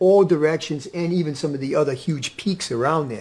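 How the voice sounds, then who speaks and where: A man's unremarkable speaking voice, fairly high in pitch, with lively intonation and a moderate pace. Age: 60s. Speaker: health coach. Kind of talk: radio interview.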